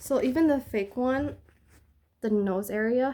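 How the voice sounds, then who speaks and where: The voice mumbles in a dark, mellow tone. Its pitch varies in an ordinary way. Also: woman. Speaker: product reviewer. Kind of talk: casual talk to camera. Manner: mumbling, hesitant.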